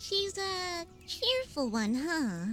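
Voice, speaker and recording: A put-on character voice sits at an extremely high pitch with very wide pitch swings. Clear background noise runs underneath. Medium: video game. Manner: quippy, friendly.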